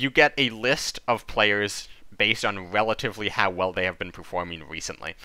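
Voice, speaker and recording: A man speaks at a fairly low pitch in a bright, sharp tone. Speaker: gaming content creator. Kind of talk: video commentary. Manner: fast; hesitant, many fillers.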